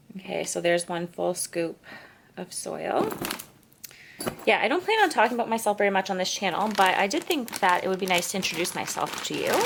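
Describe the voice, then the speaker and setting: A woman talks fairly quickly against noticeable background noise. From eastern Canada. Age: 30s. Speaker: plant youtuber, content creator. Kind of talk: casual chatty vlog while potting plants. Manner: casual, filler-heavy.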